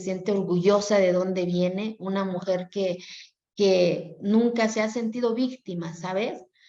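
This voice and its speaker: The speech moves at a fairly slow pace with a monotone, flat intonation and an Oaxacan accent. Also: woman. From Mexico, Oaxaca mountain Zapotec community. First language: Zapotec (speaking Spanish). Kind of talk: interview.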